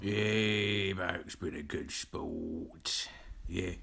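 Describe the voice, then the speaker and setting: A put-on character voice in a Cockney accent, delivered at a very slow pace. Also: man, fairly low pitch for a man. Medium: comedy sketch.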